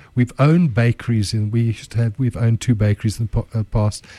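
A man's medium-pitched voice has a dark, mellow tone and is somewhat breathy. The intonation is fairly even, and the sound is dry and close with no echo. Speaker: entrepreneur and chef. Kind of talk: casual radio interview. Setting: radio studio.

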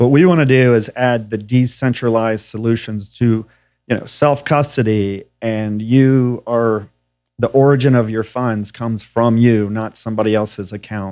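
This is a normal speaking voice with an American accent. The pace is moderate. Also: man, medium pitch for a man. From Tennessee, US South. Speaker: fintech co-founder. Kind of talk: interview conversation.

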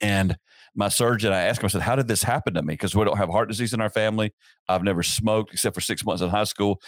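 A man with a Southern US accent speaks at a very fast pace. His fairly low voice sounds dry and close, with no echo. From US South, upstate South Carolina. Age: 50s. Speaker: pastor. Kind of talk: casual interview.

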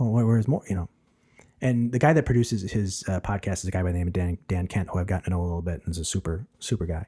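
A very fast, very deep, low-pitched man's voice, somewhat breathy and dark and mellow in tone, with ordinary pitch variation, in a dry, close sound with no echo and a very clean recording over a silent background. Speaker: podcast host, seminary student and preacher. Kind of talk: casual interview chat. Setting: studio, face-to-face.

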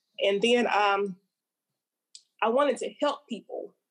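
Speaking with an Alabama accent, a woman has a fairly high pitch and ordinary pitch variation. Her pace is very slow. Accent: Southern US (Alabama). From Montgomery, Alabama, US South. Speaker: poet and actor. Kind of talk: casual interview chat.

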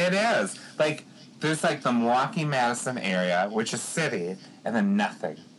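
A man with an American accent speaks at a medium pitch and moderate pace. His pitch swings very widely amid noticeable background noise. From Eau Claire, Wisconsin. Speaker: podcast host. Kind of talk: ghost story telling. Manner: dramatic, hushed spooky storytelling.

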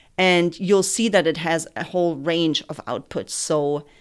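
Against a silent background in a very clean recording, a woman with a German accent speaks very slowly at a very deep, low pitch, with ordinary pitch variation. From Germany. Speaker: soil health extension educator. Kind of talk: interview.

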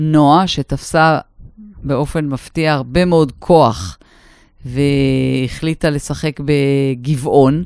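A woman with a very deep, low voice speaks at a very slow pace. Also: ordinary pitch variation. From northern Israel. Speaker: podcast co-host. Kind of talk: casual chat.

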